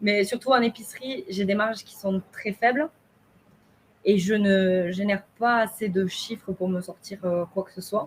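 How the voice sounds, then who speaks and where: A woman speaks at a fairly slow pace with a medium pitch and fairly even intonation. Her voice is somewhat breathy, with big swings in loudness. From southern France, Haute-Garonne. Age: 20s. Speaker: shop owner. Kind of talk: testimony.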